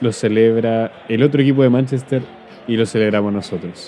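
Noticeable background noise sits under a moderately paced voice with a Chilean accent and ordinary pitch variation. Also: man. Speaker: podcast host. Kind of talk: casual chat.

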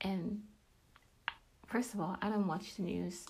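In a room with audible echo, a woman talks at a moderate pace, her medium-pitched voice dark and mellow, with vocal fry and fairly even intonation. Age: 30s. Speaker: podcast host and faith teacher. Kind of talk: devotional talk.

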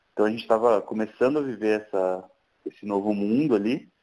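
A man's voice carries a dark, mellow tone and moves at a moderate pace. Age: 30s. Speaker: tech entrepreneur. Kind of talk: casual interview.

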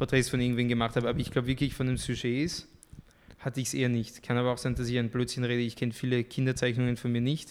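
Speaking very fast in a French accent, a man keeps a medium pitch, a flat monotone delivery and very even loudness. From France, moved to Austria at 13. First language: French (speaking German). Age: young. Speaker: artist. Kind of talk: podcast interview.

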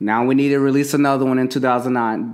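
This man has an American accent. His pitch sits in the medium range. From United States. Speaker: podcast host. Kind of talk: casual chat. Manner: animated.

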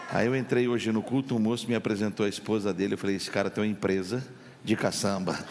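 Very fast speech from a man at a fairly low pitch, with very even loudness and noticeable background noise. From Campinas, São Paulo, Brazil. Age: 50s. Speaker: pastor. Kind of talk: sermon. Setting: church. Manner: animated.

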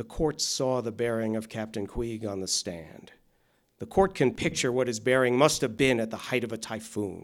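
With ordinary pitch variation, a man talks in a plain, everyday voice at medium pitch. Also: moderate pace. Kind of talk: courtroom drama performance, formal closing argument delivered in court. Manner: measured, solemn, formal oratory with grave, reluctant tone.

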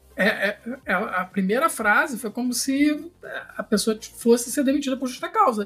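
A man projects a raised voice at an extremely high pitch, with ordinary pitch variation. His pace is moderate, and background noise is noticeable. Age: 40s. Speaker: podcast host. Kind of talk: casual chat.

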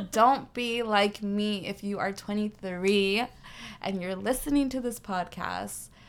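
In a very clean recording with a silent background, a woman talks at a medium pitch. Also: ordinary pitch variation. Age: 20s. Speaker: university student. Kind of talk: casual chat. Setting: recording at a friend's house.

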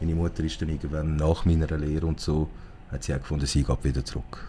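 The speaker's dark, mellow tone rushes along at a very fast pace. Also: man. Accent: Zurich. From Zurich, Switzerland. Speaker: guest with Iranian family background. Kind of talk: casual interview. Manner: halting, many fillers.

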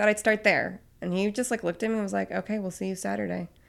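A woman talks at a very fast pace in an animated tone at medium pitch. The recording is very clean, with a silent background. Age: 30s. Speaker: pastry chef. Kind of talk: casual chat. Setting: studio.

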